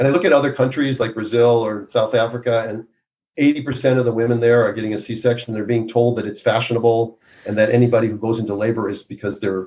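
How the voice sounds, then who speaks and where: Here a man talks at a very fast pace with an American accent. His pitch sits in the medium range. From Minnesota, US Midwest. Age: 60s. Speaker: obstetrician. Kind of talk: podcast interview. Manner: animated.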